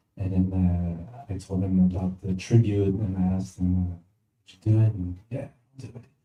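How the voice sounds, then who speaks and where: A man with a very deep, low pitch and a dark, mellow tone speaks at a moderate pace, somewhat breathy, with fairly even intonation and big swings in loudness. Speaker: musician. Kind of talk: panel Q&A. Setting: stage with audience. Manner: halting.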